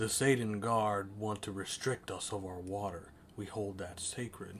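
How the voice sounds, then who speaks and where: Over clear background noise, a man does a put-on character voice at a moderate pace, pitched fairly low with fairly even intonation. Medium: game stream. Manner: formal, grave.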